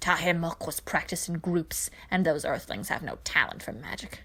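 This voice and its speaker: A woman's put-on character voice at a fairly low pitch, in a very clean recording with a silent background. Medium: read story. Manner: scornful, dismissive.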